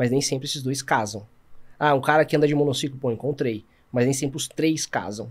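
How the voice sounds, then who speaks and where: The speaker is a man. His delivery is fairly quick. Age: 30s. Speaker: sports filmmaker; podcast guest. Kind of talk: casual chat. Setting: studio. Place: studio. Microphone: studio mic.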